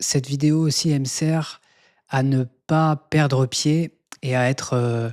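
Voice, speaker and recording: The man's fairly high pitch holds to a fairly even intonation, and the sound is dry and close with no echo. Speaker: YouTuber sharing personal health journey. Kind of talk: personal vlog monologue. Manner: halting, many hesitations.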